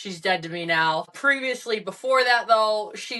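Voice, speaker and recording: A woman's bright, sharp voice at medium pitch, lively in intonation, fairly slow, with an American accent. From northern US. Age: 20s. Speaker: firefighter and author. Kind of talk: interview testimony.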